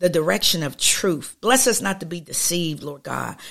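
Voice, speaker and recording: Fairly low in pitch with vocal fry, a woman speaks at a fairly quick pace with lively intonation. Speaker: prayer podcast host. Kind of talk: fervent prayer, spoken aloud to God. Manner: earnest, pleading, impassioned, repeating 'Lord God' and 'Oh God'; rhythmic, flowing, with small hesitations.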